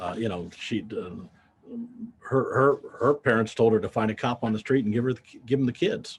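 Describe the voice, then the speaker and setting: A man with an American accent speaks at a fairly quick pace, with long, frequent pauses. His medium-pitched voice is somewhat breathy, with ordinary pitch variation. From US Midwest, Davenport, Iowa. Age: 70s. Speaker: accountant and payroll business owner. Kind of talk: interview. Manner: halting, with repeated words.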